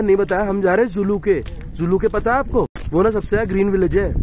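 Speaking at a fairly quick pace, a man with a high voice and ordinary pitch variation comes through dry with no echo and light background noise. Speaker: travel vlogger. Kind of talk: casual vlog chat. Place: street. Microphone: phone near.

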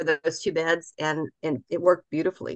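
In a dry, close sound with no echo, a woman with an American accent talks fairly quickly at a fairly low pitch in a monotone, flat intonation. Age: 60s. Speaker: gardening speaker. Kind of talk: lecture. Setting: video call.

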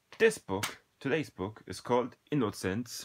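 In a very clean recording with a silent background, an unremarkable speaking voice comes through with lively intonation. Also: man. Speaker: book reviewer. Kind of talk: unscripted book review talk.

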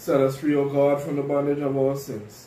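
Light background noise and audible room echo around a man's moderately paced speech. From Trinidad and Tobago. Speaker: deacon leading worship. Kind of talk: liturgy and sermon. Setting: church. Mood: calm, solemn. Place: home room.

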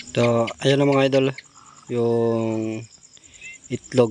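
Noticeable background noise sits behind a man speaking at medium pitch. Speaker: video creator. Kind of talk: casual vlog narration. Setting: outdoors at a chicken coop at night. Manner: casual.

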